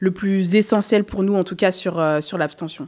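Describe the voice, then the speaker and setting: A quiet background surrounds a woman's speech. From France, Paris suburbs (Seine-Saint-Denis); Paris. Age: 20s. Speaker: association co-founder and journalist; journalist. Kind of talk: interview. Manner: hesitant, many fillers. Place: studio. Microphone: studio mic.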